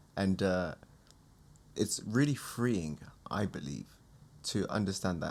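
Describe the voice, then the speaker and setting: A man with a British accent speaks at a fairly slow pace and fairly low pitch, with ordinary pitch variation and long, frequent pauses. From UK. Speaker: podcast host. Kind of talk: casual chat.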